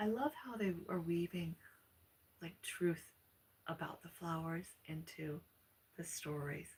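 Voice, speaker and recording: A soft-spoken woman with a fairly low pitch talks at a fairly slow pace, her voice somewhat breathy. She leaves long, frequent pauses. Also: ordinary pitch variation. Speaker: ASMR storyteller / channel host. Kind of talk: casual chatty talk to listeners. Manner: soft-spoken, relaxing.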